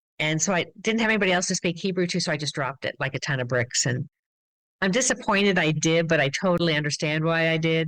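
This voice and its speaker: With an American accent, a normal speaking voice talks at a fairly quick pace with ordinary pitch variation over a quiet background. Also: woman. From US Midwest and Massachusetts. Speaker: glass artist and studio owner. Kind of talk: interview.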